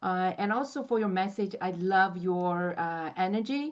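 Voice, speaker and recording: A woman with a non-native accent speaks at medium pitch and a fairly slow pace. Her intonation is lively, and the background is quiet. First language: not English. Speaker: community member. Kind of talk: casual chat. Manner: halting.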